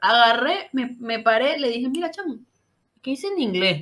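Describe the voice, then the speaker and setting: A woman with a Caracas accent talks at a fairly quick pace in a high pitch. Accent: Venezuelan Spanish (Caracas). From Venezuela, Caracas. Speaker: podcast host. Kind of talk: casual chat.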